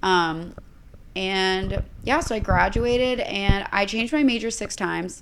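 A woman's medium-pitched voice with an American accent, fairly slow pace and ordinary pitch variation, plus audible room echo. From Texas (Bryan College Station), later Indiana. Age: 20s. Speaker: influencer. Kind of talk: casual chat.

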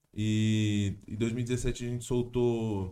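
The man's voice has a dark, mellow tone. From interior of São Paulo state, Brazil (Jundiaí). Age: 20s. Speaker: rapper. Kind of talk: casual chat.

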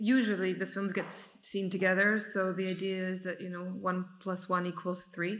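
Over audible room echo, a woman at medium pitch speaks in a flat monotone with a bright, sharp tone. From Serbia (Belgrade). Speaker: film director and editor. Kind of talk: festival Q&A. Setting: video call.

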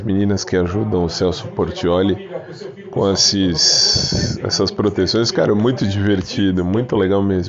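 A man talks with a fairly low pitch. Noticeable background noise sits behind him. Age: 40s. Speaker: podcaster. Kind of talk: casual monologue.

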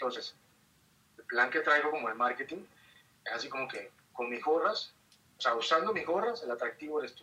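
Talking at a fairly quick pace with long, frequent pauses, a man with a fairly high pitch uses lively intonation and big swings in loudness. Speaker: photographer and influencer. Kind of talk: casual interview. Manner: talkative.

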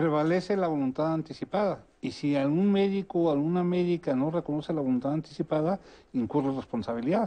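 A man's fairly high voice, dark and mellow in tone, very even in loudness, with ordinary pitch variation and a fairly quick pace. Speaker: lawyer. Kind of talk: televised panel discussion.

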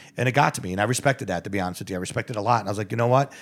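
A man speaks with a New York accent. His pitch is medium. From New York, the Bronx. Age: 50s. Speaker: restaurant owner. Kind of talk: casual chat.

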